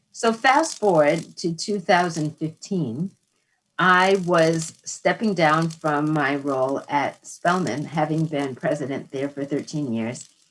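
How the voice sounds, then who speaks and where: A woman with an American accent speaks very slowly in a very deep, low voice, her pitch varying in an ordinary way. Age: 60s. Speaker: author and psychologist. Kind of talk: interview conversation. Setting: live broadcast.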